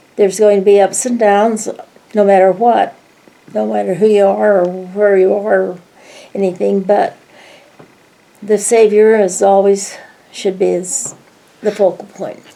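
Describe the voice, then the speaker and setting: A woman at a medium pitch, in a monotone, flat intonation at a fairly slow pace, with long, frequent pauses and noticeable background noise. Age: 90s. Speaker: grandmother interviewed by family. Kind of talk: family interview.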